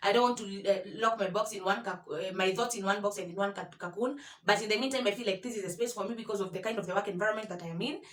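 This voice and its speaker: A woman's medium-pitched voice at a very fast pace, with hardly any pauses, fairly even intonation and noticeable background noise. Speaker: YouTuber. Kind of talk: vlog tutorial. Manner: halting, many fillers and repetitions.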